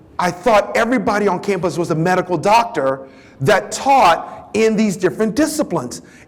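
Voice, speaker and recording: Against noticeable background noise, a man speaks in an animated tone with high pitch and lively intonation. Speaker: professor, diversity speaker. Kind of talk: keynote talk.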